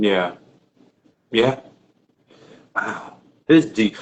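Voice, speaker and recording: Very slowly, a man speaks with a New York accent. His pitch swings very widely. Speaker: podcast host. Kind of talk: casual interview chat.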